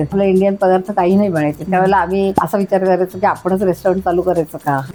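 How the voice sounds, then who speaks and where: Music plays in the background as a woman speaks at a medium pitch. Her loudness stays very even. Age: 70s. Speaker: quiz contestant, home-style Indian food caterer in Japan. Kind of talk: interview answer.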